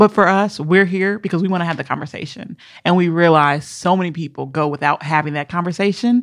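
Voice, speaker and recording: A woman with an American accent speaks at a fairly quick pace and a fairly low pitch, with ordinary pitch variation. It's a plain, everyday voice against a quiet background. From Minneapolis, Minnesota. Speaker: podcast co-host. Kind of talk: casual chat.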